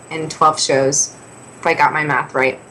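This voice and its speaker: A woman talks over noticeable background noise. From Canada, Ontario west of Toronto. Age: 20s. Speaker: singer-songwriter. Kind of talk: interview.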